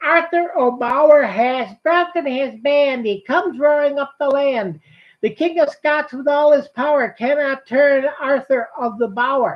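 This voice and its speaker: Using a put-on character voice, a woman talks in a high, sing-song way at a moderate pace. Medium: read story. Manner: sing-song, teasing.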